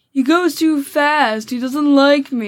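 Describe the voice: In a put-on character voice, a female-sounding speaker whines at a high pitch, keeping a whiny tone and a fairly slow pace.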